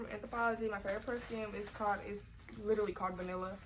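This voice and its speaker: Over noticeable background noise, a woman speaks at a fairly quick pace in a flat monotone. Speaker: vlogger. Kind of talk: casual haul video. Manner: fast. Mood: relaxed, a bit shy. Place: home room. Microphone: phone near.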